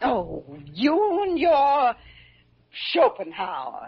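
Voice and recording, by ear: A woman's put-on character voice, high-pitched and very slow, with vocal fry, a slightly husky edge and very wide pitch swings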